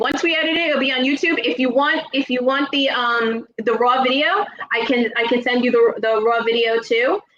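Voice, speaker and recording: A woman with a New Jersey accent speaks at a moderate pace in a high pitch, with ordinary pitch variation, very even loudness and hardly any pauses. Noticeable background noise runs underneath. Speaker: paranormal channel host, speech therapist. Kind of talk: casual interview chat. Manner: halting, many fillers.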